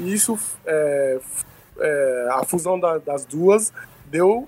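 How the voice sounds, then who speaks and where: With lively intonation, a man with a high pitch speaks at a very slow pace. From Benin. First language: Nagô (Yoruba) (speaking Portuguese). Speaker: student and cultural event promoter. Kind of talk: interview. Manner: halting.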